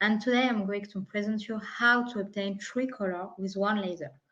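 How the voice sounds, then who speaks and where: At a moderate pace, a woman speaks with a French accent in a medium pitch and ordinary pitch variation. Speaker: product specialist. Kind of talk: technical presentation. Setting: online webinar.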